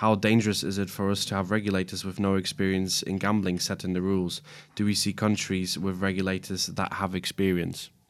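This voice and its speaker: Over a silent background in a very clean recording, a man speaks fairly quickly in a fairly low, monotone voice. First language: not English. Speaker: podcast host. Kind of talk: casual chat.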